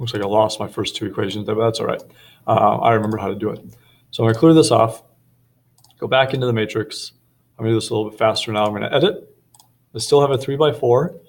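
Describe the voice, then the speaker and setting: A man talks at a very fast pace with long, frequent pauses and ordinary pitch variation. His voice is somewhat breathy on a very clean recording with a silent background. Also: medium pitch for a man. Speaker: math teacher. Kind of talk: tutorial.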